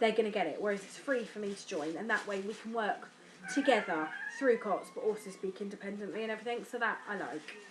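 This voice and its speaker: A woman with an English accent speaks at a very fast pace with ordinary pitch variation. Noticeable background noise runs underneath. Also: fairly high pitch for a woman, big swings in loudness. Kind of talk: personal vlog. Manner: hesitant, mumbling.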